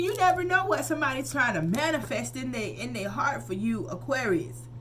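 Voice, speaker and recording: With hardly any pauses, a woman moves at a fairly quick pace while noticeable background noise continues. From US South. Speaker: tarot reader. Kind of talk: tarot reading. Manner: animated, casual.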